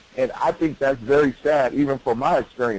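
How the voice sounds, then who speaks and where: A man's medium-pitched voice with an American accent and ordinary pitch variation, over noticeable background noise. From Detroit, Michigan. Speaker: youth leadership educator. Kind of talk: webinar presentation.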